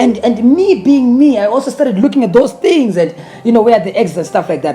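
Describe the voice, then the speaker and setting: Noticeable background noise sits behind a man speaking with a Zimbabwean accent. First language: Shona. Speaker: gospel singer. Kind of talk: interview. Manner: halting, many repeated words.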